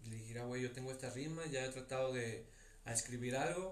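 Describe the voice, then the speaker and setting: There is audible room echo as a man speaks in a medium pitch. His pace is moderate and his pitch varies in an ordinary way. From Tepic, Nayarit, Mexico. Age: 20s. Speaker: rapper and nursing student. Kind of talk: casual chat.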